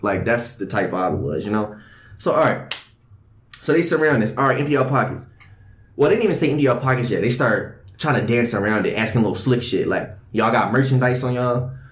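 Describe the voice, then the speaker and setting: A man talks very fast in a somewhat breathy, medium-pitched voice. His pitch varies in an ordinary way, and room echo is audible. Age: young. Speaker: podcast host. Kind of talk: casual chat. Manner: animated.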